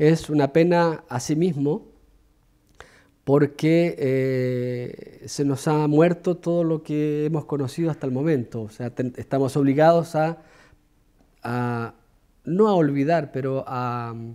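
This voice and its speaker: Speaking at a very slow pace, a man with a fairly high pitch and a dark, mellow tone uses ordinary pitch variation on a very clean recording against a silent background. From Chile. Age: 40s. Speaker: cameraman, exile. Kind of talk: documentary interview.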